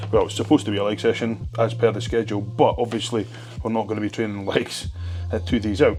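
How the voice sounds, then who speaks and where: Over music in the background, a man with a Scottish accent talks at a very fast pace, his fairly low voice held to fairly even intonation. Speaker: bodybuilder vlogger. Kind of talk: casual vlog.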